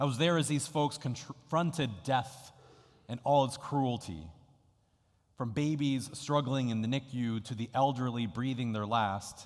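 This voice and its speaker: A man's medium-pitched voice moves fairly slowly, its pitch varying in an ordinary way. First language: Spanish. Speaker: pastor. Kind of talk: sermon.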